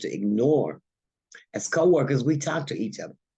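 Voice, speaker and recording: Man with ordinary pitch variation and an unremarkable speaking voice. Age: 60s. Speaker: union organizer, warehouse worker. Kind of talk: panel discussion. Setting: virtual conference.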